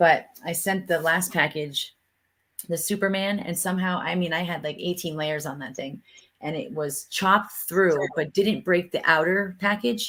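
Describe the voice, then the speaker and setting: A loud woman's voice, fairly low in pitch with a bright, sharp tone, ordinary pitch variation and a moderate pace. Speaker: live streamer. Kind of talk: casual chat.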